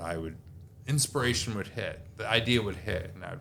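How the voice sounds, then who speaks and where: Audible room echo surrounds a man with an American accent who speaks at a moderate pace in a bright, sharp tone. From US Midwest (South Dakota). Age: 40s. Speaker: army veteran and journalist. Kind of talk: casual interview chat.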